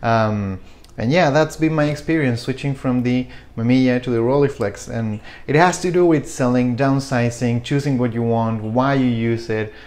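A man with a Spanish accent speaks at a moderate pace with ordinary pitch variation. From Chile. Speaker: photography YouTuber. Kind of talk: casual vlog talk to camera. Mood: reflective, relaxed. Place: kitchen.

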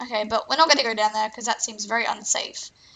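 In a raspy put-on character voice, a woman talks at a very fast pace with a fairly high pitch.

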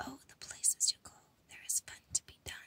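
The speaker is whispering at a fairly slow pace. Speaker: ASMR creator. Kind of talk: whispered book reading for ASMR. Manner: whispered, soft.

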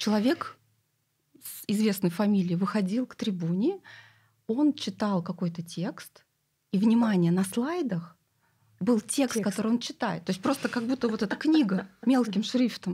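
A woman's dark, mellow, somewhat breathy voice at a moderate pace, with long, frequent pauses over a quiet background. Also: lively intonation. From Siberia, Russia. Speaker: clinic CEO. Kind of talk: casual chat. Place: studio. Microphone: studio mic.

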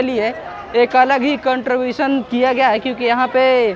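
Crowd noise fills the background as a man speaks. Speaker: travel vlogger. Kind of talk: casual vlog chat. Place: station.

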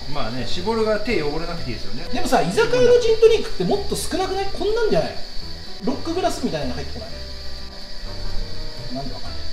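The speech moves at a very fast pace with clear music in the background. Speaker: vlogger. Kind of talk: casual vlog chat. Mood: playful, joking. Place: bar. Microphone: camera far.

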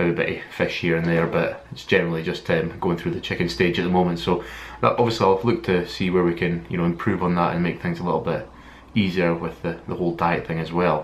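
A man with a Scottish accent and a very deep, low pitch, fairly even intonation, over light background noise. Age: 20s. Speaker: fitness vlogger. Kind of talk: vlog monologue. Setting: filming alone to camera. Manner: halting, many fillers. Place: home room. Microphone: webcam.

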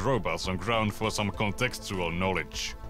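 With music in the background and a dry sound with no echo, a man talks at a fairly quick pace. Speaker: video essay narrator. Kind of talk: video essay narration.

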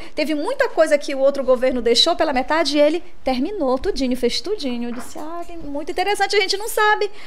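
A woman speaks with a high pitch. Her pitch swings are very wide. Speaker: podcast co-host. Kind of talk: podcast host talk. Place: studio. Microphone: studio mic.

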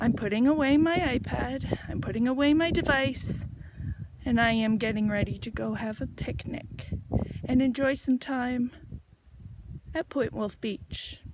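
A woman's high-pitched voice at a fairly slow pace, with long, frequent pauses, dry sound with no echo and noticeable background noise. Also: ordinary pitch variation. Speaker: hiker vlogger. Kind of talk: casual vlog chat. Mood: cheerful, proud. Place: forest. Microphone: phone near.

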